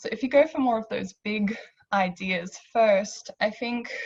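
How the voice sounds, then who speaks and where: Somewhat breathy, a woman talks in an Australian accent. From Australia, Hungarian immigrant family. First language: Hungarian. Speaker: panellist. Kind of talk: panel discussion.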